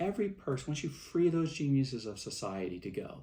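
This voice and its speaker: The man's pitch swings very widely as he speaks. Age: 60s. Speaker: movement founder giving a speech. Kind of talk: recorded speech to event attendees. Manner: halting, with many fillers.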